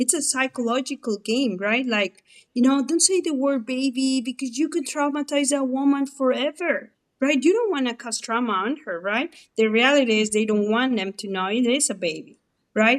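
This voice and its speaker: This woman has a Mexican accent and a high pitch. She goes at a moderate pace with ordinary pitch variation. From Mexico. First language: Spanish. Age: 40s. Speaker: former abortion clinic manager. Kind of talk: interview testimony. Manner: conversational, animated.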